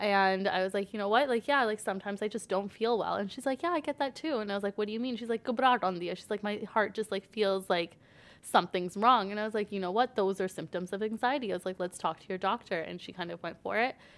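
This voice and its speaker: Talking at a very fast pace with hardly any pauses, a woman with a Toronto accent and a medium pitch is heard in a very clean recording with a silent background. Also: ordinary pitch variation. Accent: Canadian English, Toronto-area. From Canada, Brampton, Ontario. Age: 20s. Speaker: mental health advocate. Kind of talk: casual interview.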